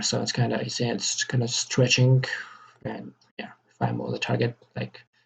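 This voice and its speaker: The male speaker talks fairly quickly. He has a non-native accent. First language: not English. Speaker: game developer. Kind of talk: tutorial. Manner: halting, many repetitions and fillers.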